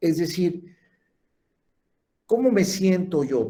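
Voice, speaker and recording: A man with a high pitch and a dark, mellow tone speaks with lively intonation. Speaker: lecturer in gerontology and geriatrics. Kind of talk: lecture.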